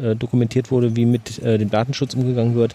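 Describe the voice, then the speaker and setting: Here a man with a medium pitch speaks at a very fast pace. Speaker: podcast host. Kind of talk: casual chat. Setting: outdoors in a garden.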